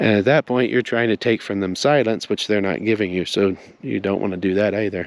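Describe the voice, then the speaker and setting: A man speaks quietly in a fairly low voice. His pace is fairly quick, with ordinary pitch variation. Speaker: spiritual teacher. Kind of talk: spoken teaching monologue. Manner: subdued, quiet.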